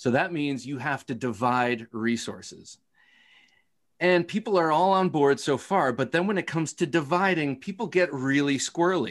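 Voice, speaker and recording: A man with an American accent and a normal speaking voice, fairly high in pitch, at a moderate pace with lively intonation over a quiet background. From Ohio. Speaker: knife podcaster. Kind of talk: casual chat.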